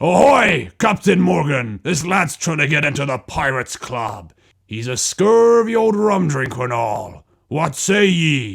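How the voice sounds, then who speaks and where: Using a put-on character voice, a man speaks fairly high and at a fairly slow pace. His pitch swings very widely. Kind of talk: stage pirate talk. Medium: read story. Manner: hearty, swaggering pirate speech.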